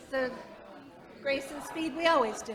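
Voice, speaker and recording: Audible room echo and noticeable background noise. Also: woman. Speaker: meeting moderator. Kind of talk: meeting announcements. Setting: church meeting with live stream. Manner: loud.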